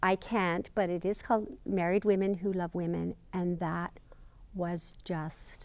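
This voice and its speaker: A woman's fairly low voice with ordinary pitch variation, at a fairly slow pace. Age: 60s. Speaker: interviewee. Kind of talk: interview testimony. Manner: halting, many fillers.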